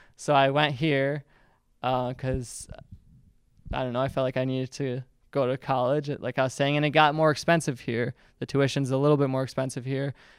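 A man with an American accent talks at a fairly quick pace, with long, frequent pauses, at a medium pitch, in a monotone, flat intonation. The recording is very clean, with a silent background. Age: 20s. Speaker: YouTuber and video editor. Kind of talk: talk to students with Q&A. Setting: classroom with student audience. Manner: casual, filler-heavy.

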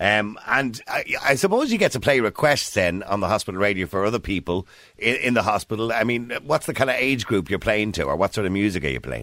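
A man with an Irish accent talks at a very fast pace. His fairly low pitch carries vocal fry and lively intonation. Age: 50s. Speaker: talk radio host. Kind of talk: radio interview; radio monologue. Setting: studio.

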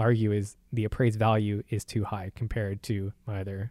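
Dark, mellow speech in an American accent, monotone and flat at a fairly quick pace, in a dry, close sound with no echo on a very clean recording with a silent background. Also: man. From San Antonio, Texas. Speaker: property tax lawyer. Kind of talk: casual interview.

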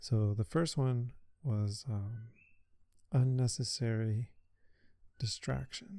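The voice is dark and mellow, somewhat breathy, with ordinary pitch variation. It moves at a very slow pace with long, frequent pauses. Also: man, medium pitch for a man. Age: 30s. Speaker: podcast host, amateur runner. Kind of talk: solo podcast monologue. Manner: casual with many filler words.

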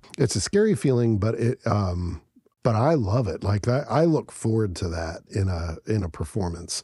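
Against a quiet background, a man speaks in an American accent at a fairly low pitch. His voice is somewhat breathy, with a dark, mellow tone. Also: lively intonation, moderate pace. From United States. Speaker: podcast co-host. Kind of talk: casual chat. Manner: halting.

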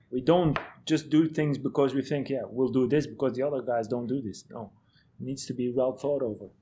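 Using a medium pitch and a dark, mellow tone, a man talks at a fairly quick pace. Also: fairly even intonation. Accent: Dutch. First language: Dutch. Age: 40s. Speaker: head of medical and performance at a football club. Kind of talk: podcast interview.

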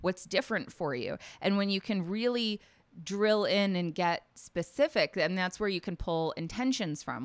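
Here a woman talks at a moderate pace with a medium pitch in an ordinary speaking voice. The recording is very clean, with a silent background. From US South, Nashville, Tennessee. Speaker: life coach. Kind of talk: interview conversation.

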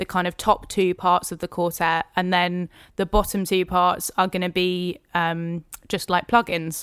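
In a southern English accent, the speaker delivers a monotone, flat line at a fairly slow pace on a very clean recording with a silent background. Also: woman. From Hertfordshire, England. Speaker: singer-songwriter and keys player. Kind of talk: casual interview.

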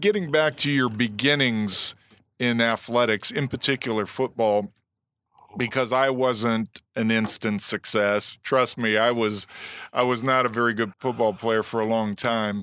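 A man with an American accent speaks at a fairly slow pace and medium pitch in a bright, sharp tone, his intonation fairly even and his loudness very even, recorded dry and close with no echo, very clean, over a silent background. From Illinois. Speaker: former NFL player, guest interviewer. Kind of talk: interview.

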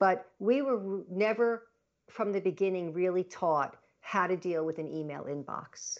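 A woman with an American accent and a normal speaking voice, medium in pitch with ordinary pitch variation, at a fairly slow pace. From Long Island, New York. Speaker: productivity consultant and author. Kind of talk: interview.

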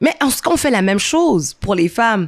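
A woman talks at a fairly quick pace. The recording is very clean with a silent background. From Montreal, Saint-Michel (Quebec), Haitian heritage. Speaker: event founder and former comedian. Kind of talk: interview conversation. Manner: animated, laughing.

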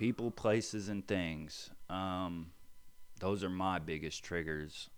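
A man's very deep, low voice on a very clean recording with a silent background. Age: 30s. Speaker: person in addiction recovery. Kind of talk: interview. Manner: halting.

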